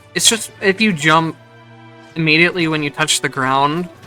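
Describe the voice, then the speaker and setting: A quiet, fairly high-pitched man's voice at a moderate pace, with music in the background. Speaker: gameplay commentator. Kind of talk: casual gameplay commentary.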